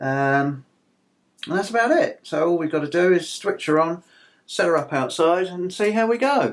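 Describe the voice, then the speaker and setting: This man's voice is high in pitch, with lively intonation and a moderate pace. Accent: British. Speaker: farrier and blacksmith YouTuber. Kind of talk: product review. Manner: hesitant, many fillers.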